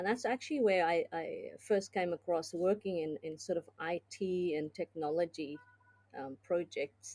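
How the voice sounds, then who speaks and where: A woman with a fairly low pitch and a dark, mellow tone speaks at a moderate pace with ordinary pitch variation, in a dry, close sound with no echo. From South Africa. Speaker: business consultant and tech executive. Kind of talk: podcast interview. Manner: hesitant, many fillers.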